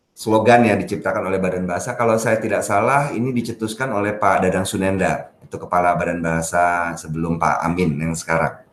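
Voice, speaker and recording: Speaking very fast with hardly any pauses, a man with a very deep, low voice is heard with audible room echo. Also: ordinary pitch variation. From Jakarta, Indonesia. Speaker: language expert, teacher of online language classes. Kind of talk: podcast interview.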